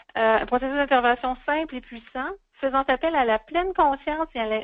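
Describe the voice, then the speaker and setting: A woman talks in a Quebec accent. Her pitch variation is ordinary. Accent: Québécois French. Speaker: webinar presenter. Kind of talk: speaker introduction. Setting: online webinar.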